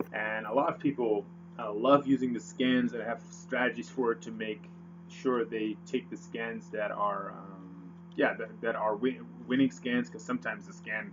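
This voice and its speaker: Over noticeable background noise, a man of medium pitch talks at a moderate pace with very wide pitch swings. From Netherlands. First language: Dutch. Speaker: forex trader. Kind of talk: tutorial. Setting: screen recording with webcam. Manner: hesitant, many fillers.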